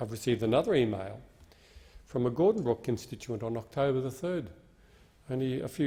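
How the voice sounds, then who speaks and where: With an Australian accent, this voice has a dark, mellow tone, sounds somewhat breathy and moves at a fairly quick pace. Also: man. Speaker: member of parliament. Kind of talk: parliamentary speech. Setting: parliament chamber.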